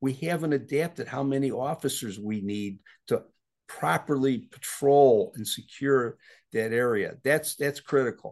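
A man with an American accent speaks in an ordinary speaking voice at a fairly slow pace. His pitch variation is ordinary, and the background is quiet. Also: medium pitch for a man. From Chicago, South Side. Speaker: retired police chief of detectives. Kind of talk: interview.

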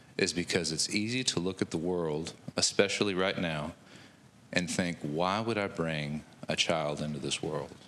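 There is noticeable background noise behind this recording. A man with a very deep, low voice speaks at a moderate pace. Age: 40s. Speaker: bible study participant. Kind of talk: group discussion.

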